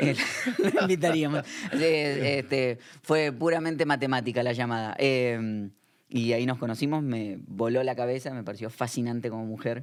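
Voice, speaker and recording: A man speaks in an Argentine accent at a moderate pace. His pitch sits at a medium level and varies in an ordinary way. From Argentina, Buenos Aires area. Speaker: pastor. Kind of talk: interview conversation.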